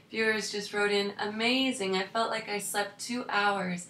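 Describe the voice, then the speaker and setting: Through noticeable background noise and audible room echo, a woman with a fairly high pitch and a calm, soothing tone speaks at a fairly slow pace with fairly even intonation. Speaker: hypnosis coach. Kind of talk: coaching talk.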